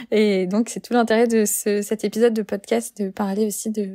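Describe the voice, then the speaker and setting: Speaking at a moderate pace, a woman uses fairly even intonation at a fairly high pitch. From France, Lyon. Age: 20s. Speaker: community manager sharing anxiety experience. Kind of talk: personal testimony interview. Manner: hesitant, many fillers.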